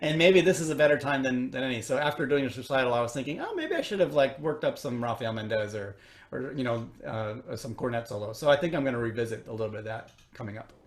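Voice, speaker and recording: A man with a slight Chicago accent talks at a very fast pace in a medium pitch, his pitch varying in an ordinary way over noticeable background noise. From US Midwest, Chicago. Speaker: orchestral trumpet player. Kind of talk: interview. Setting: recorded at home. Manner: halting, many fillers and repeats.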